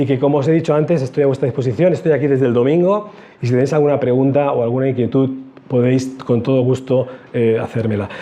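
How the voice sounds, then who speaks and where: Noticeable background noise sits under a man's very fast speech. His pitch is fairly high with ordinary variation. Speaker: church union director. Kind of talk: talk to theology students.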